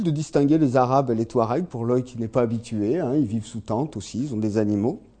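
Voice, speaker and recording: Over a quiet background, a man with an ordinary speaking voice talks at a moderate pace with lively intonation. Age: 40s. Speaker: agricultural technician and lecturer. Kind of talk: lecture.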